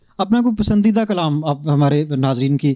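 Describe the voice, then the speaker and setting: This man has a plain, everyday voice pitched fairly high. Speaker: interviewer. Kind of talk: interview host introduction and questions.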